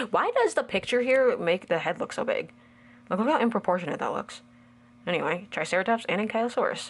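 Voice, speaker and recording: Very fast and animated, a woman speaks with lively intonation at a fairly high pitch. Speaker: toy reviewer. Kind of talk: unboxing review.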